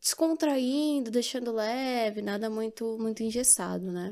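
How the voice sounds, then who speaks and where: A woman's high-pitched voice with a dark, mellow tone, at a moderate pace. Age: 20s. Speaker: podcast co-host, psychologist. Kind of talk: casual chat.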